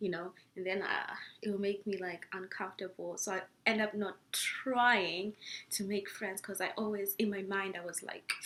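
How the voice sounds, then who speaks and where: A woman's medium-pitched voice with a strong Zimbabwean accent, a bright, sharp tone, a moderate pace and monotone, flat intonation. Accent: thick Zimbabwean. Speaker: international student vlogger. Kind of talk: casual vlog talk. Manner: hesitant with many fillers.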